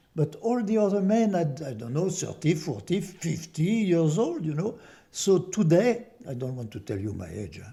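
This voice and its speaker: The voice has a dark, mellow tone, with very wide pitch swings and big swings in loudness. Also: man, high pitch for a man, moderate pace. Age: 90s. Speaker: war veteran. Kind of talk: interview testimony.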